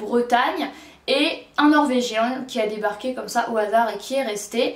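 A woman speaks very slowly in a high voice, with audible echo from the room. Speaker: book reviewer. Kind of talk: casual vlog chat. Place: home room.

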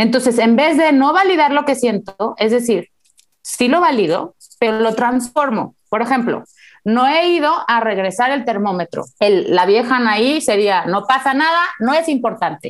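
A woman's high pitch at a fairly slow pace, with lively intonation and a quiet background. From Mexico. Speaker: neuropsychologist; guest. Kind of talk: interview. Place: home room. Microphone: earbuds.

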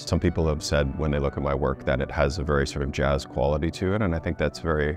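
A man speaks in a very deep, low voice with fairly even intonation, the sound dry with no echo and clear music playing behind him. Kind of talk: interview answer. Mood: calm, reflective. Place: hall. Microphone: lapel.

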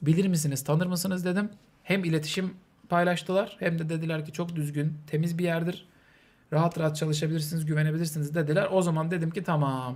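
Monotone, flat intonation marks a delivery that runs fairly quickly. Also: man, high pitch for a man. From Turkey. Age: 30s. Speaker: streamer. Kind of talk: charity livestream talk. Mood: calm, serious, subdued. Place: home room. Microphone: studio mic.

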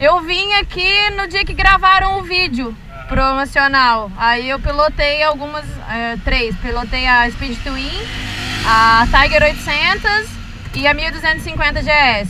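Music plays in the background as a woman speaks in a raised, projected voice. Her pitch is high, swings very widely, and her pace is very slow. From rural Brazil. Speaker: motorcycle vlogger. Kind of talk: casual vlog review. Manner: animated.

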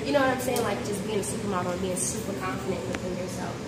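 A woman's voice over loud background noise. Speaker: interviewee. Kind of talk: interview answer. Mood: upbeat, playful. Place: empty room.

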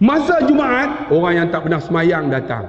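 Loud and animated, a man speaks at a moderate pace with a Malaysian accent and very wide pitch swings. Room echo is audible. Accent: Malaysian Malay. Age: 50s. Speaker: Islamic teacher and preacher; Islamic teacher, preacher. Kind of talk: sermon and religious lecture with humor. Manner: loud, animated. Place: hall. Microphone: headset.

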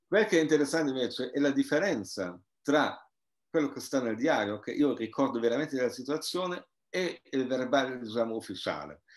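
A man speaks at a fairly quick pace with lively intonation over a quiet background. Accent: German. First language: German (speaking Italian). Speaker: anthropologist and author; guest. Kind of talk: interview. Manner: halting. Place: home room. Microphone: video call.

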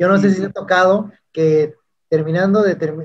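A man talks at a very fast pace, his pitch high and his intonation fairly even. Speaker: YouTube interviewer. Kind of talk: interview. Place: home room. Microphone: studio mic.

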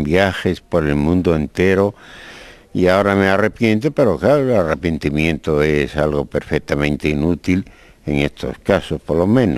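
A man's very deep, low voice holds a very even loudness. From Spain. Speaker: poet. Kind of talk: interview answer. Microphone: handheld.

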